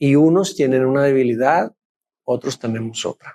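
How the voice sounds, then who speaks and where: A man's fairly high voice at a fairly slow pace, lively in intonation, in a dry, close recording with no echo and a very clean, silent background. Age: 60s. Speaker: pastor. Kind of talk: sermon.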